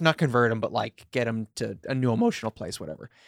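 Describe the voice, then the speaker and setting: The man has an unremarkable speaking voice with lively intonation at a moderate pace. The sound is dry and close, with no echo. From New York (Long Island). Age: 30s. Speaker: comedian. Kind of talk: casual chat.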